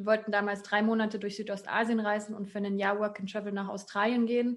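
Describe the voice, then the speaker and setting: A woman with medium pitch speaks in monotone, flat intonation. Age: 20s. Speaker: digital nomad and self-employed coach. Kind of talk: interview.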